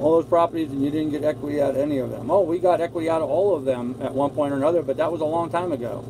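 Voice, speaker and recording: Amid noticeable background noise, a man with a fairly high pitch talks at a very fast pace with hardly any pauses and fairly even intonation. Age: 60s. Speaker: sailing vlogger. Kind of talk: live stream chat reading viewer comments. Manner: casual, halting.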